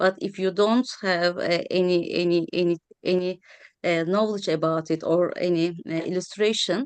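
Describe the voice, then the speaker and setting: Here a woman speaks with a Turkish accent. Her intonation is fairly even and her loudness very even. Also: medium pitch for a woman, moderate pace. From Turkey. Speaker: historian of science. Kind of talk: round table discussion. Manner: halting, many fillers.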